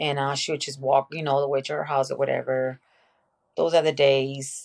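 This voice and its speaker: A woman talks at a fairly quick pace with a Mexican accent. Her very deep, low voice stays monotone and flat. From Mexico, Tijuana; moved to Venice, California in eighth grade. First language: Spanish. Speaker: podcast guest, mother. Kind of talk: casual interview, personal life story. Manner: casual, many fillers.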